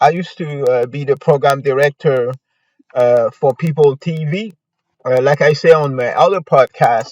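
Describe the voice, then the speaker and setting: A man with a non-native accent talks at a fairly high pitch with ordinary variation. The sound is dry and close with no echo, against a quiet background. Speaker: podcast host, local news commentator. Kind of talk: casual news commentary podcast. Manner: hesitant, many fillers.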